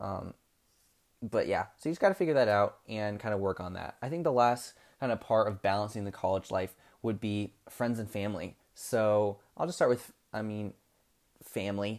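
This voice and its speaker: In a very clean recording with a silent background, a man with an unremarkable speaking voice talks at a moderate pace and fairly low pitch, with ordinary pitch variation. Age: 20s. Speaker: podcast host, college student. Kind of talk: casual solo podcast talk. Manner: casual, filler-heavy.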